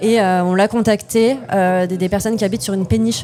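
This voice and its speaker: With music in the background, a woman talks using ordinary pitch variation. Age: 20s. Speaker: company co-founder. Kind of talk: podcast interview. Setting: innovation day event. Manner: hesitant, many fillers.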